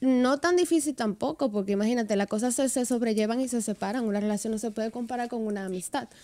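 A woman's dark, mellow tone at a very fast pace, with hardly any pauses and ordinary pitch variation. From Dominican Republic, Santiago. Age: 20s. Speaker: social media influencer and dancer. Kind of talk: radio interview, casual chat. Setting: radio studio. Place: studio. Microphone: studio mic.

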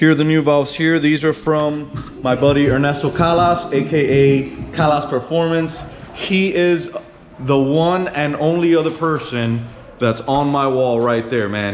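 A man talks at a moderate pace with ordinary pitch variation. Music plays in the background, and the room echo is audible. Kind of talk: casual vlog tutorial. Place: workshop. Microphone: phone near.

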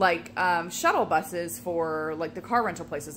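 A woman speaks at a fairly low pitch. Noticeable background noise runs underneath. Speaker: vlogger. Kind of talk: casual vlog chat. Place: home room. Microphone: phone near.

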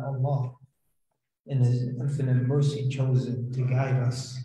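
With audible room echo around him, a man talks in a monotone, flat intonation. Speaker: imam. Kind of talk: sermon. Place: church.

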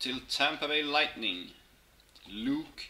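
Speaking very slowly, a man is heard with noticeable background noise behind him. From Sweden. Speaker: hockey card box-break streamer. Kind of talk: live stream card opening chat. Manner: animated. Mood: pleased, upbeat. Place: home room. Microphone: webcam.

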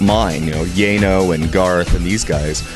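Music plays clearly behind the speaker. The voice belongs to a man. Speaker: interview guest. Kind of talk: interview answer. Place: bar. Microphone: handheld.

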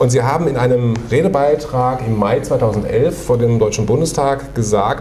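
Audible room echo and a little background noise surround the voice. The man keeps a moderate tempo. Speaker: interviewer, channel host. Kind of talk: interview questions. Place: meeting room. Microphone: lapel.

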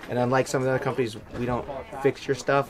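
Very fast male speech amid noticeable background noise. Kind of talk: product overview interview. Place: open country. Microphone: camera far.

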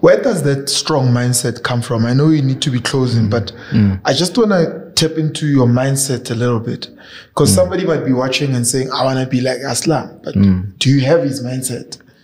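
A man talks fairly quickly, his pitch varying in an ordinary way. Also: medium pitch for a man. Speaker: YouTube show host. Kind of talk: interview conversation. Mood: friendly, smiling. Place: studio. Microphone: studio mic.

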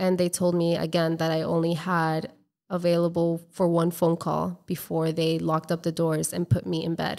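Fairly low-pitched female voice, monotone and flat in intonation, over a quiet background. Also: moderate pace. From Colombia and Florida. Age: 30s. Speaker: travel blogger and entrepreneur; travel blogger. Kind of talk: casual interview. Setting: in person, drinking wine. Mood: earnest, reflective. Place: home room. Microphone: studio mic.

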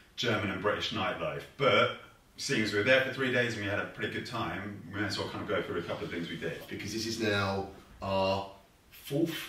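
Audible room echo surrounds a man speaking fairly quickly at a fairly low pitch with ordinary pitch variation. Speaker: vlogger. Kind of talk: casual vlog chat. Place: home room.

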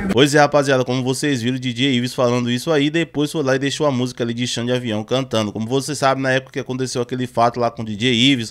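A man rattles along at a very fast pace with monotone, flat intonation and hardly any pauses. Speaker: music news youtuber. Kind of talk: commentary. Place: home room. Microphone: studio mic.

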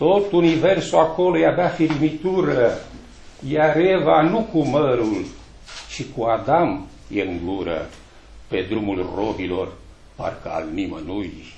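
A man's fairly high voice with very wide pitch swings, a very slow pace and long, frequent pauses, plus audible room echo and light background noise. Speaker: poet reading at a book launch. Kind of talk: poetry reading at a book launch, with a brief polite greeting first. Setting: library event with audience. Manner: formal, measured, declamatory. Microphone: camera far.

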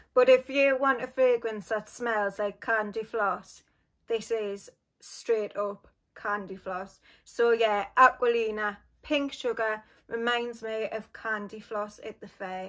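A woman with a Geordie accent, very slow and fairly even in intonation, against a quiet background. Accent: Geordie (Newcastle). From northern England, Newcastle; northern England. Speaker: beauty and fragrance YouTuber; fragrance YouTuber. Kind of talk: casual vlog talk to camera.

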